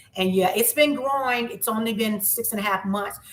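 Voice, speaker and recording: At a moderate pace, a woman speaks with ordinary pitch variation in an unremarkable speaking voice. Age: 50s. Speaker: YouTuber. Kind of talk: live stream chat. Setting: livestream.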